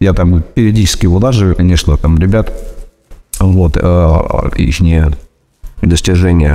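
Speaking with very even loudness, a man uses a very deep, low pitch, ordinary pitch variation and a fairly slow pace broken by long, frequent pauses. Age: 40s. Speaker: fitness trainer and former miner. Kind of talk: self-recorded testimony. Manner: halting, many fillers.

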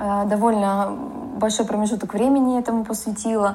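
This woman speaks at a moderate pace with a fairly high pitch. Her intonation is monotone and flat. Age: 30s. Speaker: cadastral engineer and photographer. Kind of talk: personal story.

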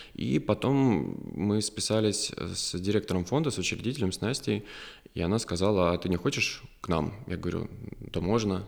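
On a very clean recording with a silent background, a man in an ordinary speaking voice talks at a moderate pace and fairly low pitch, with ordinary pitch variation. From Ryazan, Russia. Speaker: clinical psychologist and university lecturer. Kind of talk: casual interview. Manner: humorous, ironic.

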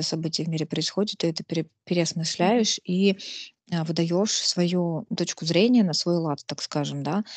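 A woman with an ordinary speaking voice talks at a moderate pace, fairly low in pitch with ordinary variation, in a dry, close sound with no echo. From Russia, Nizhny Novgorod. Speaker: podcast host. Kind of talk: casual interview.

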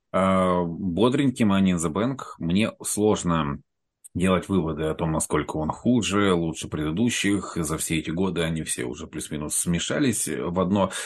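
Against a quiet background, a man talks at a moderate pace in a very deep, low voice. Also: ordinary pitch variation. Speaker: wedding host and wrestling fan. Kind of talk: casual chat.

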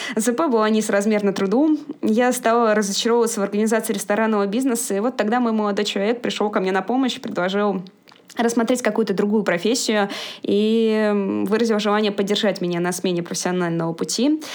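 A woman with a fairly high pitch talks at a fairly quick pace, her intonation fairly even and her loudness very even, over noticeable background noise. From Moscow, Russia. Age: 20s. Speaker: former cook moving into IT project management. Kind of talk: podcast interview.

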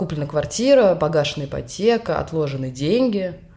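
A woman with a fairly low pitch speaks in a dark, mellow tone. Her intonation is lively and her pace moderate. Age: 30s. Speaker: podcast co-host, bank manager on maternity leave. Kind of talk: casual chat.

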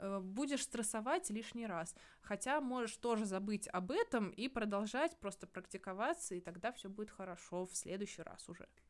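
Speaking at a moderate pace, a woman uses lively intonation and a fairly high pitch. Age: 20s. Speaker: scientist, podcast co-host. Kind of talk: casual chat. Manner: animated, gesturing.

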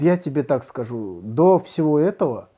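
Speaking at a very slow pace, a man has a fairly high pitch. His tone is dark and mellow. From Uzbekistan. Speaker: stand-up comedian. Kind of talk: casual chat.

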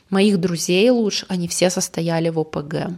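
A woman with a medium pitch talks while noticeable background noise carries on behind her. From Russia, Yoshkar-Ola (Volga region). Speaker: podcast co-host. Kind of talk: casual chat.

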